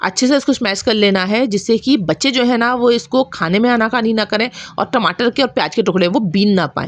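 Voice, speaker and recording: Speaking with a Bundelkhandi accent, a woman keeps a fairly high pitch, ordinary pitch variation, very even loudness and a moderate pace, with hardly any pauses against a quiet background. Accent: Bundelkhandi touch in her Hindi. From Bundelkhand, central India. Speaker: cooking channel host. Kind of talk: cooking tutorial.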